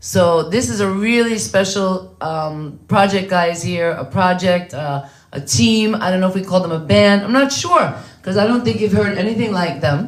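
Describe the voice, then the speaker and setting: With an American accent, a woman speaks at a medium pitch and a moderate pace, her intonation lively. Audible room echo and noticeable background noise are present. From New York. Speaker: guest host interviewer. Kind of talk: live stream interview.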